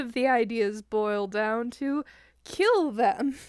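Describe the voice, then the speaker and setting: The woman's pitch shows ordinary variation. She speaks at a very slow pace. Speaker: fanfiction author. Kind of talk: casual chat. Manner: animated, halting with many fillers.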